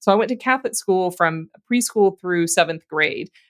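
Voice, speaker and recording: A woman with an American accent talks at a fairly quick pace in a plain, everyday voice with lively intonation, the sound dry and close with no echo. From Louisiana, US South. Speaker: guest co-host, seminary-trained. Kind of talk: casual chat.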